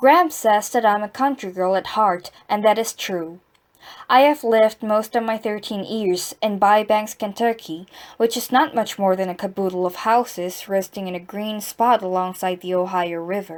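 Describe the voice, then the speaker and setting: On a very clean recording with a silent background, a woman speaks at a moderate pace in a medium pitch with ordinary pitch variation. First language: Korean. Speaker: amateur reader practicing English reading aloud. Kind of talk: reading aloud. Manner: halting, stumbling and repeating words.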